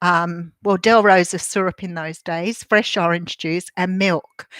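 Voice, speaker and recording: Recorded very cleanly against a silent background with a dry, close sound and no echo, a woman with an Australian accent talks fairly slowly at a medium pitch in a monotone, flat intonation. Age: 60s. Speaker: tarot reader. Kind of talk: casual vlog with tarot card reading. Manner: chatty, rambling with fillers.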